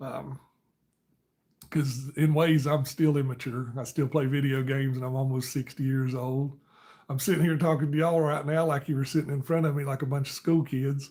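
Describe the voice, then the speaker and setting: Against a silent background in a very clean recording, a man speaks at a moderate pace with a fairly high pitch and monotone, flat intonation. His tone is dark and mellow, and somewhat breathy. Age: 50s. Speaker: live streamer. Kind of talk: casual chat.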